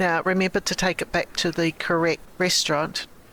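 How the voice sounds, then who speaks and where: A woman with a New Zealand accent, fairly low pitch and a bright, sharp tone at a moderate pace, in a very clean recording with a silent background. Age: 50s. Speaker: lifestyle vlogger. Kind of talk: vlog narration.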